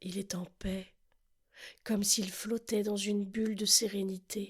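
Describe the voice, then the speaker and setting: A woman's somewhat breathy voice at medium pitch, very slow and monotone, with flat intonation. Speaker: relaxation guide. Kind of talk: guided sleep relaxation. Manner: slow, soft-spoken.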